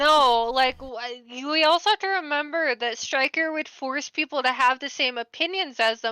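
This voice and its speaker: Against noticeable background noise, a woman with a high-pitched voice speaks at a moderate pace with ordinary pitch variation and hardly any pauses. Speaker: streamer reacting to a document. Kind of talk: casual group discussion. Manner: halting.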